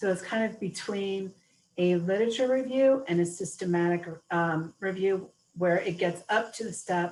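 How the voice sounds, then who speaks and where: A woman with an American accent, an ordinary speaking voice, medium pitch, ordinary pitch variation and a moderate pace. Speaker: webinar presenter. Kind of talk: webinar Q&A.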